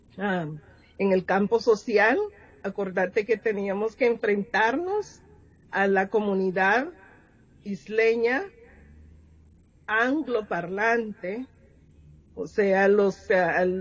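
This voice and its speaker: A woman's somewhat breathy voice with a Honduran accent, at a very slow pace with long, frequent pauses. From Honduras, Garífuna community. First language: Garífuna (speaking Spanish). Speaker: poet and educator. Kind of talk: interview.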